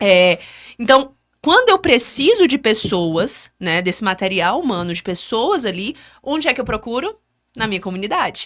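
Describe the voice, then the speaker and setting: A woman speaks at a moderate pace with a fairly high pitch. Her voice makes very wide pitch swings. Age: 20s. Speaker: civil engineer and business owner. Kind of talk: podcast interview.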